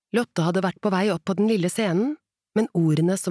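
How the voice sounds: Quiet background, natural reading voice, ordinary pitch variation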